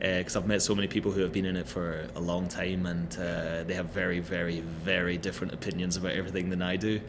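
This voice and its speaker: A man's very deep, low voice in a room with audible echo, very fast, flat and monotone, with hardly any pauses. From Scotland. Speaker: actor and model. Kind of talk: casual chat.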